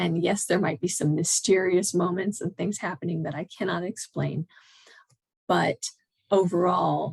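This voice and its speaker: A woman with vocal fry and a fairly low pitch talks at a moderate pace with fairly even intonation, in a dry, close sound with no echo. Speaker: painter and podcast host. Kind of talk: casual interview chat.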